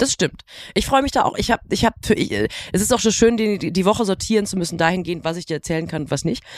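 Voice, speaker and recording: In a dry, close sound with no echo, a woman speaks very fast at a medium pitch with lively intonation. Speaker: podcast host. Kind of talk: casual banter podcast chat. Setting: hotel room.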